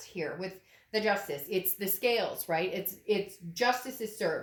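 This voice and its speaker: With an animated tone, a woman talks using ordinary pitch variation. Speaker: tarot reader. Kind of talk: tarot reading monologue. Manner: fast.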